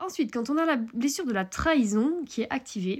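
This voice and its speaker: A woman's voice in a very clean recording, silent background. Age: 30s. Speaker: horse coach podcaster. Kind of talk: solo podcast monologue. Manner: casual, filler-heavy.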